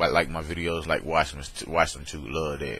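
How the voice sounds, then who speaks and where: In a Southern US accent, a man speaks fairly slowly with a very deep, low pitch. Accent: countrified Southern, slurred. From US South, Alabama. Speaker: vlogger. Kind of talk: casual webcam vlog. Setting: webcam recording. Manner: slow, slurred.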